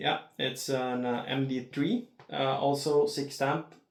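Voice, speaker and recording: Speaking very slowly with a Norwegian accent, a man uses a fairly high pitch and fairly even intonation. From Norway. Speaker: disc golf unboxing youtuber. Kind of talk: unboxing video. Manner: halting, many filler words.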